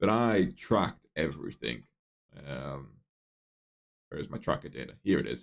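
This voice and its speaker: At a moderate pace, a man talks with vocal fry. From northeast England, near Newcastle. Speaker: software developer streaming live coding. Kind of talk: casual live stream chat. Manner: casual, many fillers and restarts.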